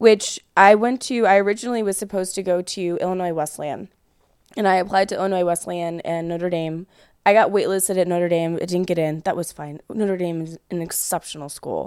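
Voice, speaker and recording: In a very clean recording with a silent background, a woman speaks with an American accent at a medium pitch. Her pace is fairly quick and her intonation fairly even. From US Midwest, near Chicago. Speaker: adult film performer. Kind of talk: casual chat. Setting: studio.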